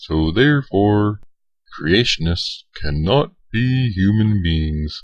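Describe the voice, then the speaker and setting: A man puts on a cartoonish character voice at a very slow pace. His pitch is fairly low. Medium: puppet show. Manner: anxious, conspiratorial.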